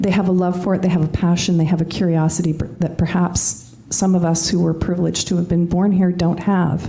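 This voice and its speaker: Over noticeable background noise, a woman talks at a moderate pace with a fairly low pitch. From Canada. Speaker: panelist. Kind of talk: panel discussion.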